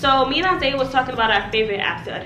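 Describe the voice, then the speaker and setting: The recording has audible room echo along with noticeable background noise. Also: woman. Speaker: lifestyle vlogger. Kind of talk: casual vlog tutorial. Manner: animated.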